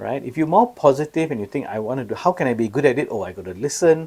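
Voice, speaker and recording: Very fast and fairly high in pitch, a man speaks with vocal fry. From Singapore. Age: 60s. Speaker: senior law partner. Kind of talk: podcast interview.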